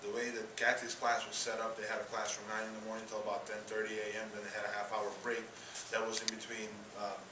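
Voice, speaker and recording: Over noticeable background noise and audible room echo, a man with a fairly low pitch speaks very fast in a monotone, flat delivery. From Eastern Europe. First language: Eastern European language. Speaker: college student. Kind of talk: class presentation.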